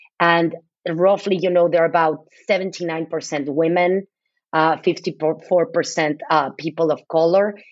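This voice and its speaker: At a very slow pace, a woman speaks in a fairly low, monotone, flat voice with very even loudness. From Mexico City. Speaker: nonprofit CEO. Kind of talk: interview.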